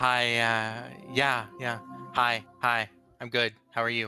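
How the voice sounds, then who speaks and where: A put-on character voice from a man at medium pitch, very slow and fairly even in intonation, over faint music in the background. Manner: distracted, dreamy.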